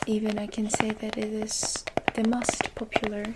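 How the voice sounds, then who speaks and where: A soft-spoken woman whispers at a very slow pace. Noticeable background noise runs underneath. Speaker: ASMR creator. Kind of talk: ASMR tea shop roleplay. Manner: soft-spoken, whispery, slow.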